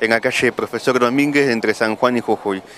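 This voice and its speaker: Recorded dry with no echo and light background noise, a man talks at medium pitch with ordinary pitch variation. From Argentina. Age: 30s. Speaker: musician. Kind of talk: interview; interview answer. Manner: halting. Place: street. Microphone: handheld.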